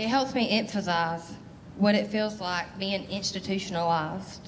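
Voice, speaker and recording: There is audible room echo around a woman whose pitch varies in an ordinary way. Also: medium pitch for a woman. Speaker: mental health storyteller. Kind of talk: spoken word performance. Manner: fast; loud.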